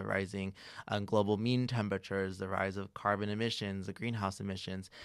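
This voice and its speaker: On a very clean recording with a silent background, a man with a plain, everyday voice speaks at a fairly low pitch with fairly even intonation. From Los Angeles, US, Mexican immigrant family. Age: 20s. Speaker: environmental educator and content creator. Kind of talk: casual interview chat.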